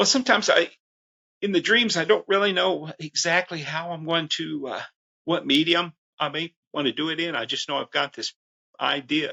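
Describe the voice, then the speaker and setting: Pitch varies in an ordinary way as a man talks high at a moderate pace. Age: 60s. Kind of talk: interview. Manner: halting, many fillers.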